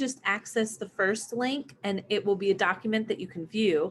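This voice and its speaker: This woman has a plain, everyday voice, pitched fairly high. Her intonation is lively. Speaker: online Spanish teacher. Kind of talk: live online lesson.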